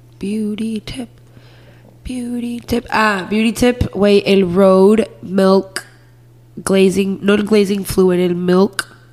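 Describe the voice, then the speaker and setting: At a very slow pace, a woman speaks at medium pitch with fairly even intonation, with noticeable background noise behind her. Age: 20s. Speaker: podcast co-host. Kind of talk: casual chat.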